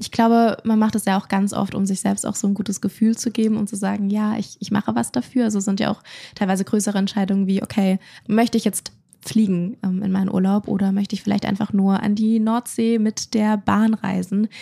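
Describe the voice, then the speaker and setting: A woman with a somewhat breathy, dark, mellow voice at medium pitch speaks fairly quickly in a monotone, flat way, with a dry, close sound and no echo. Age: 20s. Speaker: content creator. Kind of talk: casual conversation.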